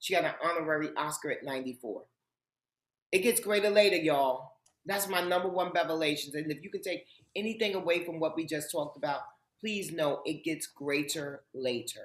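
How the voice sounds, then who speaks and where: This woman has an unremarkable speaking voice, fairly low in pitch, with an American accent. She talks at a moderate pace with ordinary pitch variation. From Harlem, New York City. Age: 50s. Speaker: author and TV host. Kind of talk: interview.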